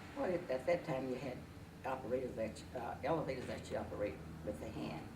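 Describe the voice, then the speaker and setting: Over noticeable background noise, a woman with an American accent speaks at a fairly quick pace in a very deep, low pitch with very wide pitch swings. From Georgia, US. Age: 60s. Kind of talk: interview answer.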